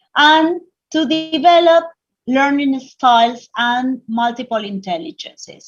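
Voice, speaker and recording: A woman speaks at a fairly slow pace. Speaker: English teacher trainer and textbook author. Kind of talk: online teacher training workshop. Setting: online webinar.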